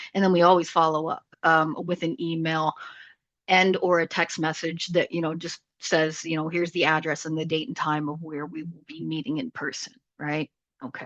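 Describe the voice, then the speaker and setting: A woman at a fairly low pitch uses a normal speaking voice at a moderate pace. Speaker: product manager presenting webinar. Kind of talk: webinar presentation. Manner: casual, lots of fillers.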